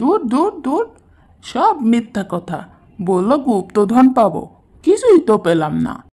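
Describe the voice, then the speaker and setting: A woman performs a cartoonish character voice, fairly high in pitch, with very wide pitch swings. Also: fairly slow pace. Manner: fearful, complaining.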